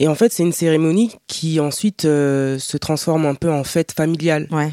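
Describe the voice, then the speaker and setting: A woman with a very deep, low pitch, fairly even intonation and a moderate pace, in a dry, close, echo-free recording that is very clean with a silent background. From France, Paris. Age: 30s. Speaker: podcast guest, younger sister. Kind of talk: casual chat.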